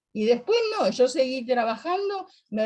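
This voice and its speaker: Speaking at a fairly slow pace, a woman uses a high pitch that swings very widely. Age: 80s+. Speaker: workshop participant. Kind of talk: casual chat.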